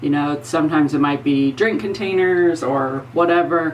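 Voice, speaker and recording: Noticeable background noise accompanies a woman who speaks fairly slowly in a very deep, low voice. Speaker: former crime scene investigator and makeup vlogger. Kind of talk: casual vlog storytelling. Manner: loud.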